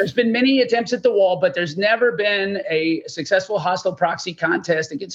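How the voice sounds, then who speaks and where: Speaking at a very fast pace, a man with an American accent has a high pitch. His intonation is lively. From Texas. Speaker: investor and new oil company board director. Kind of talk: recorded interview. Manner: halting, many fillers and repetitions.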